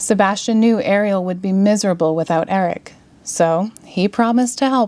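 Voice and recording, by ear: The reading aloud in a natural voice shows ordinary pitch variation.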